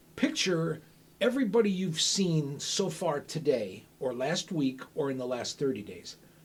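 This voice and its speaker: A man speaks at a fairly high pitch with very wide swings. His voice is somewhat breathy. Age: 60s. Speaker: stand-up comic and lawyer. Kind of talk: casual chat.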